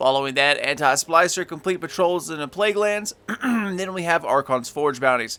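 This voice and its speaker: With lively intonation and a bright, sharp tone, a man talks at a moderate pace and a high pitch. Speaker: gaming YouTuber. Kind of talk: game tutorial walkthrough. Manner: halting, stumbles over words.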